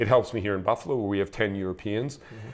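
The man talks with ordinary pitch variation, and the background is quiet. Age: 60s. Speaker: ice hockey head coach. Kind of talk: interview. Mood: warm, reflective. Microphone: lapel.

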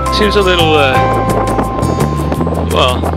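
Over loud music in the background, a man speaks at a very fast pace. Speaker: travel vlogger. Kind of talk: casual vlog chat. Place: street. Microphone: phone near.

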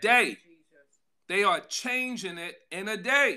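A man speaks in a raised, projected voice with a bright, sharp tone. His pace is very slow. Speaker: pastor. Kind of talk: sermon. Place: home room. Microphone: phone near.

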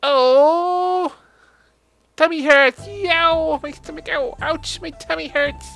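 Music plays behind a whiny, put-on character voice. It is high in pitch and very slow in pace. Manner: hammed-up, whiny.

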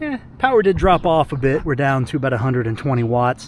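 Light background noise sits under a dry sound with no echo. The man speaks with ordinary pitch variation. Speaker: gear reviewer. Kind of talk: casual vlog chat. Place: garden. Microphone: phone near.

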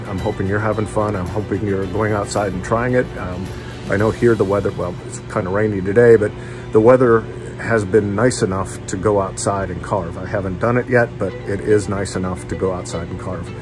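With clear music in the background, a man talks fairly quickly at a fairly low pitch. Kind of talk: casual vlog chat. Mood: warm, relaxed. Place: garage. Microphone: phone near.

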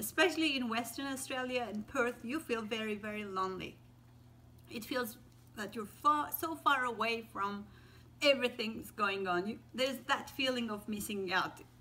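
A woman speaks at a fairly high pitch. Her tone comes across bright and sharp. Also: ordinary pitch variation, moderate pace. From Turkey. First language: Turkish. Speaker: teacher. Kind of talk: casual talk to camera. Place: home room. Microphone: phone near.

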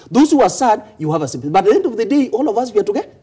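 A male speaker over a quiet background. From Kenya. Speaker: political commentator. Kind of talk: heated debate. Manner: animated. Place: studio. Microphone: lapel.

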